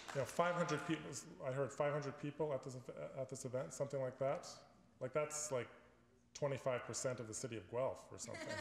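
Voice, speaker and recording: A man with a Canadian accent and a fairly high pitch speaks at a moderate pace with fairly even intonation and long, frequent pauses, against light background noise and audible room echo. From Canada, Ontario (Richmond Hill); Ontario, Canada. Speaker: environmentalist and author; alumnus guest lecturer. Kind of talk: lecture. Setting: stage with audience. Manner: halting, many fillers and repeats. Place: hall. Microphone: podium.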